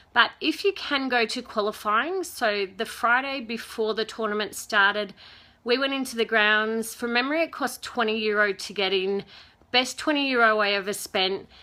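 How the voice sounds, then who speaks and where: A woman speaks with a fairly high pitch. Her tone is bright and sharp. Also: ordinary pitch variation, very clean recording, silent background. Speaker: tennis fan vlogger. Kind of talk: live-stream Q&A. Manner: fast.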